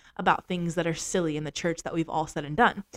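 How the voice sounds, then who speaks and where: Her tone animated, a woman speaks at a fairly low pitch. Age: 20s. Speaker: podcast host. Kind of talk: casual monologue.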